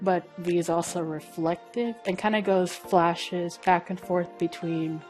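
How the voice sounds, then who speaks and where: Over music in the background, a woman speaks at a fairly low pitch and a fairly slow pace. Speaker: traditional and digital illustrator. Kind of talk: casual art vlog talk.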